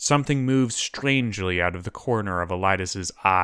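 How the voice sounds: Reading in a natural voice.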